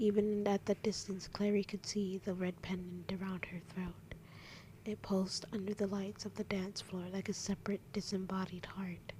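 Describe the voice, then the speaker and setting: Whispering at a moderate pace, the speaker keeps things hushed throughout. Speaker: ASMR reader. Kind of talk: ASMR bedtime story reading. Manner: whispered.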